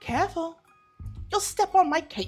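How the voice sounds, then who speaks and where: Over faint music in the background, a woman uses a put-on character voice at an extremely high pitch and a moderate pace. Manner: theatrical, haughty.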